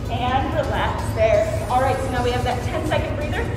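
Clear music plays in the background as the speaker talks at a moderate pace, with audible room echo. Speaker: fitness instructor. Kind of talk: workout instruction. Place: gym. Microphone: camera far.

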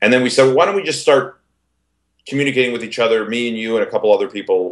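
Over quiet surroundings, a man rattles off his words very fast. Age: 30s. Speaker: multimedia producer; interviewee. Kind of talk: interview. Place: home room. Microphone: video call.

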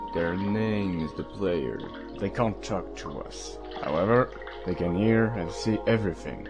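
Over loud music in the background, a man does a put-on character voice at a very deep, low pitch and a moderate pace.

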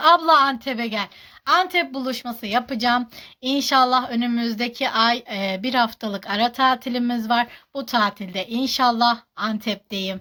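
A woman speaks at a fairly slow pace in a high, bright, sharp voice. The recording is very clean, with a silent background. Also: ordinary pitch variation. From Turkey, Kahramanmaraş. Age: 30s. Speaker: social media personality. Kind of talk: Q&A vlog. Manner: halting.

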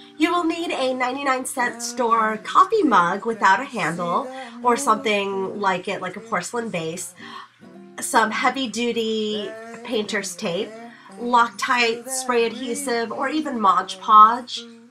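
Over music in the background, a woman with a fairly high pitch talks at a fairly slow pace with lively intonation. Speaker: crafter. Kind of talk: craft tutorial voice-over.

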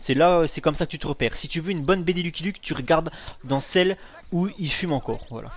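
A man's high voice, animated in tone, at a very fast pace with ordinary pitch variation. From Dijon, France. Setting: home recording. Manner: animated, loud, swearing.

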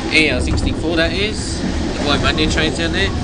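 The voice moves at a moderate pace through loud background noise. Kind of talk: casual commentary. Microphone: phone near.

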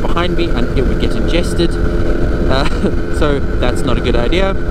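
Loud background noise surrounds a man's voice, which is dry with no echo. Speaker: microlight pilot vlogger. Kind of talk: casual vlog chat. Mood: relaxed, nostalgic, amused. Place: plane.

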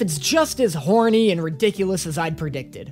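A man speaks at a fairly quick pace, with light background noise present. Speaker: video creator. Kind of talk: comedic commentary vlog. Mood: self-mocking humor. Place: home room. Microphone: studio mic.

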